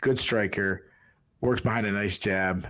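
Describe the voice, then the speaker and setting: A man's very deep, low voice with a Boston accent at a moderate pace, on a very clean recording with a silent background. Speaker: podcast executive producer and co-host. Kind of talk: sports preview chat. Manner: halting.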